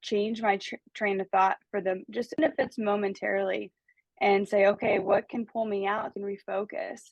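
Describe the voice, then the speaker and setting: A plain, everyday voice with an American accent. It moves at a moderate pace with fairly even intonation. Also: woman, medium pitch for a woman. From United States. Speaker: life coach. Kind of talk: casual conversation, podcast-style talk.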